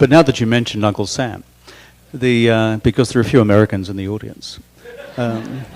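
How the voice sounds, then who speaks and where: A man's medium-pitched voice at a fairly quick pace, with fairly even intonation, long, frequent pauses and noticeable background noise. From Australia. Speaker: interviewer. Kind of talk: onstage interview. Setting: stage with audience.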